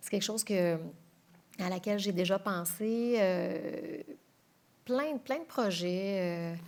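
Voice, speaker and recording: This woman speaks at a very slow pace with long, frequent pauses and big swings in loudness. Her pitch is medium with ordinary variation. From Quebec City. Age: 40s. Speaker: TV news anchor. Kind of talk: interview.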